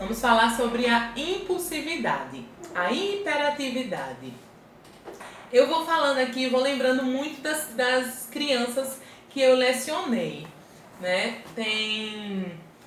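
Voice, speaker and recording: A woman with a high pitch and lively intonation speaks at a very slow pace. Audible room echo and noticeable background noise are present. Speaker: pedagogue and former teacher. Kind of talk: live stream talk.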